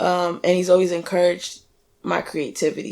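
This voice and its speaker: The speaker has a New York accent and keeps a moderate pace. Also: woman. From New York (Staten Island). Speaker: Navy veteran and musician. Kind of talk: casual interview.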